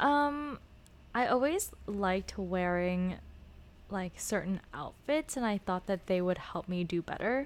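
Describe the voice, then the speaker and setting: In an American accent, a woman with a medium pitch speaks fairly slowly with lively intonation on a very clean recording against a silent background. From Los Angeles. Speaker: former student debater. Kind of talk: casual interview.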